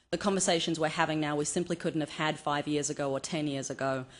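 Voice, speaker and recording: In an Australian accent, the speaker goes at a very fast pace with fairly even intonation over a quiet background. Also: woman. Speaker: cultural anthropologist, conference speaker. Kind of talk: conference talk.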